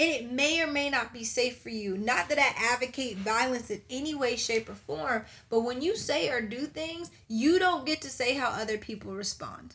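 A woman's high-pitched voice with an American accent, moderate pace, lively intonation, and hardly any pauses. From US suburbs. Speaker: podcast co-host. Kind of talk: casual chat.

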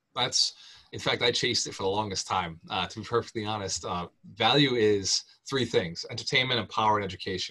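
A man with a fairly low pitch speaks at a very fast pace in a bright, sharp tone, with ordinary pitch variation. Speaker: real estate investor and author. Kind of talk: podcast interview. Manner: animated.

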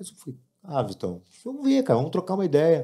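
A man's fairly high, dark and mellow voice with vocal fry, very wide pitch swings and a very fast pace. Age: 50s. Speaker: event producer and music promoter. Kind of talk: casual chat.

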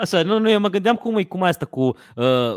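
A man talks with very wide pitch swings in a dry, close sound with no echo, on a very clean recording with a silent background. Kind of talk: casual chat.

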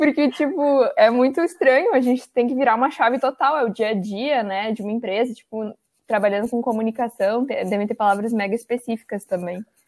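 A woman with an ordinary speaking voice talks at a fairly high pitch with ordinary pitch variation. She goes at a fairly quick pace with hardly any pauses, in a dry, close sound with no echo. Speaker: podcast host. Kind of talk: casual chat.

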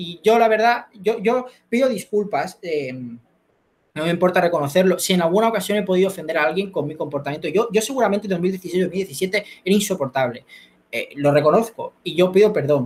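A man with a Spanish accent, high pitch, ordinary pitch variation and a fairly quick pace. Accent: Spanish from Spain. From Spain. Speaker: competitive debater and local councillor. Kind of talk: interview. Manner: fast.

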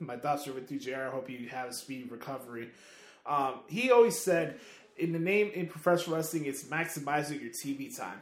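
Audible room echo frames a man talking at a fairly quick pace, fairly high in pitch. His intonation is lively and his loudness swings widely. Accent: American. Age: 20s. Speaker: podcast host. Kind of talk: casual chat. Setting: remote recording via satellite.

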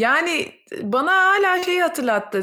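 A woman talks at a very slow pace. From Turkey. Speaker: psychologist, podcast host. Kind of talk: casual interview.

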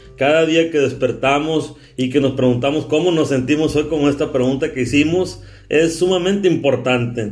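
A man's fairly high voice at a moderate pace, with fairly even intonation and very even loudness, over music in the background and audible room echo. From Sonora, Mexico. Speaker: podcast host. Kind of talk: casual interview chat.

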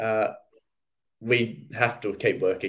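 Very slowly, a man with an Australian accent talks at a medium pitch. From Australia, Sydney. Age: 20s. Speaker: professional cricketer. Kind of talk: podcast interview.

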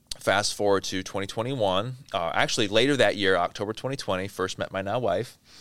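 Speaking with an American accent and an unremarkable speaking voice, a man keeps a fairly low pitch and ordinary pitch variation. He moves at a fairly quick pace with hardly any pauses. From southeast Wisconsin, US Midwest. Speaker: business executive. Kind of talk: interview.

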